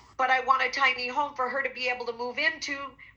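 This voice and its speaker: Noticeable noise fills the background as a woman with a high voice talks fairly quickly. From England. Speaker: veterans charity founder, veteran. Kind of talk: interview.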